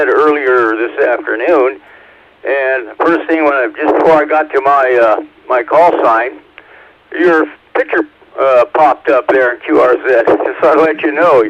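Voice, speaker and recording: A man speaks at a fairly slow pace, his pitch fairly high with ordinary pitch variation. Noticeable background noise is present. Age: 70s. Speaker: ham radio operator checking in. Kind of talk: radio net check-in.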